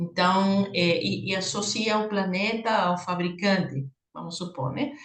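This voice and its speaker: A woman of medium pitch with a Peruvian accent, in audible room echo. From Peru, Lima. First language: Spanish (speaking Portuguese). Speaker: professor, conference moderator. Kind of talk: academic conference discussion. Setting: video call.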